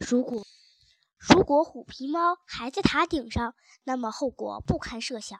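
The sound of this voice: Using a put-on character voice, a woman speaks at a fairly slow pace in a high pitch with lively intonation, the sound dry and close with no echo.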